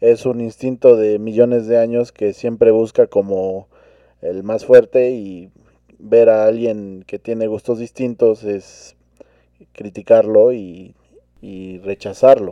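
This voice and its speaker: Spoken at a very slow pace, the voice stays monotone and flat in intonation while its loudness swings widely. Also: man, medium pitch for a man. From Mexico. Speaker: podcast co-host. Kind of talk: casual chat.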